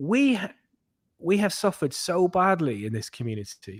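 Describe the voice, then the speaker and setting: A man speaks in a somewhat breathy voice with very wide pitch swings. The recording is very clean, with a silent background. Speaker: crypto youtuber. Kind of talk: casual chat. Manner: animated.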